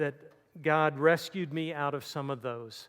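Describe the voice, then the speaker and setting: A man's fairly high voice at a moderate pace with fairly even intonation, on a very clean recording with a silent background. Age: 60s. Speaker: campus ministry speaker. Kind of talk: sermon. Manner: halting.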